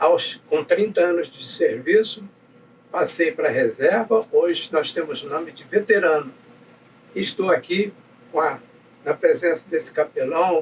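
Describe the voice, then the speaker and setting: A man speaks at a high pitch and a fairly slow pace, with ordinary pitch variation. Big swings in loudness come between long, frequent pauses. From Brazil, Nova Friburgo, Rio de Janeiro state. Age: 80s+. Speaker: navy veteran. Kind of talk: interview, life story. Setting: chapel.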